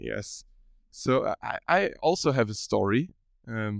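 A man with a German accent speaks at a very slow pace. The sound is dry and close, with no echo. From Germany. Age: 20s. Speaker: podcast co-host and university student. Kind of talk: casual chat. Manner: halting.

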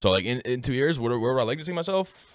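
A man speaks with vocal fry. His voice crackles low at the edges. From Newfoundland, Canada. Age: 20s. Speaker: Twitch streamer and college student. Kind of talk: casual chat. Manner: casual, chatty.

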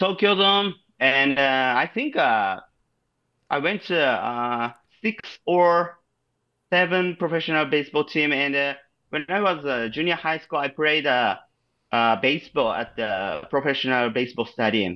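A man with a Japanese accent, fairly high in pitch, bright and sharp in tone, with lively intonation, a fairly slow pace and long, frequent pauses, on a very clean recording with a silent background. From Japan, Shizuoka. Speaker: podcast guest, amateur softball player. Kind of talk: casual chat. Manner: halting.

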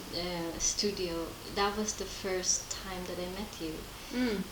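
A woman speaks with fairly even intonation. Noticeable background noise and audible room echo surround her voice. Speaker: podcast host. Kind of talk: casual interview. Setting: at guest's home. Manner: halting, many fillers.

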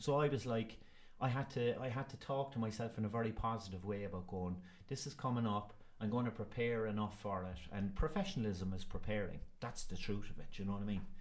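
Talking at a very fast pace with a Cork accent, a man uses a fairly low pitch and ordinary pitch variation. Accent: Cork Irish. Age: 40s. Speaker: actor. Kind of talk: casual interview. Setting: school.

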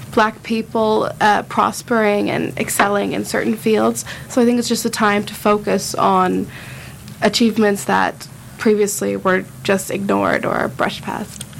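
A woman with an American accent speaks at a fairly slow pace. Noticeable background noise is present. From United States. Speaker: student guest. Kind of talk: casual chat. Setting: studio.

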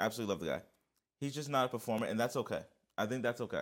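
A man with a New York accent, in a very clean recording against a silent background. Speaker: podcast co-host. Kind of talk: casual chat. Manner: animated.

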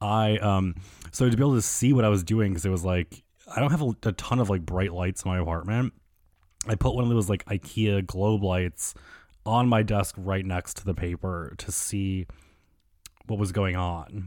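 A very clean recording with a silent background: an ordinary speaking voice, moderate pace, ordinary pitch variation. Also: man, fairly low pitch for a man. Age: 30s. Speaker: podcast host. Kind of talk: casual solo monologue.

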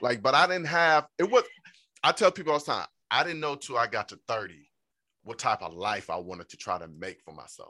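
The tone is bright and sharp, edged with vocal fry, and both pitch and loudness swing widely. The sound is dry and close, with no echo. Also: man, fairly high pitch for a man. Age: 30s. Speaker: podcast host. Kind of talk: casual chat.

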